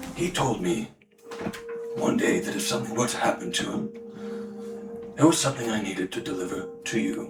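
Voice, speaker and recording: A man talks in a put-on character voice at a medium pitch and a fairly quick pace. Clear music plays in the background. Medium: actual play. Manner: gruff, blunt.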